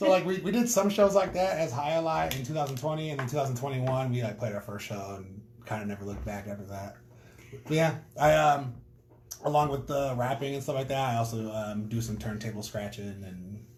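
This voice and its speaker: Fairly quick speech from a man at medium pitch, full of very wide pitch swings and big swings in loudness, with audible room echo and noticeable background noise. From North Dakota, Minot. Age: 30s. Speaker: rapper. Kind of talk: casual interview. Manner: hesitant, filler-heavy.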